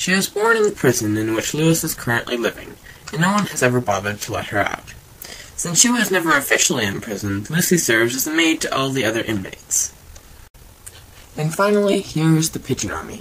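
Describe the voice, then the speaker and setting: A man talks at a very fast pace in a fairly high pitch. His pitch swings very widely, with noticeable background noise behind him. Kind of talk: improvised cartoon narration. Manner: slight lisp.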